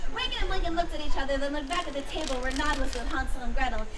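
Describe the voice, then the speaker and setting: Over crowd noise in the background, a woman with a high-pitched voice talks at a very fast pace using ordinary pitch variation. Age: young. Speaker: Renaissance Faire storyteller. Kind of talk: comedic live stage storytelling. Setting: outdoors.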